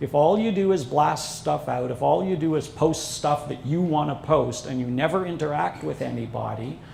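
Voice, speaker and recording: A man's fairly high voice at a moderate pace, with lively intonation and hardly any pauses, over noticeable background noise and audible room echo. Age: 60s. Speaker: social media consultant and instructor. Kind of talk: seminar presentation. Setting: seminar with live audience.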